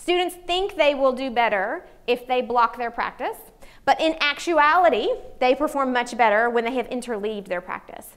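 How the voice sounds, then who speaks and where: In a Southern US accent, a woman with a high voice speaks with lively intonation. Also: moderate pace. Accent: noticeable Southern US. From US South, Arkansas. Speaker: psychology professor; psychology professor presenting. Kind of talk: conference talk. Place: meeting room. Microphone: lapel.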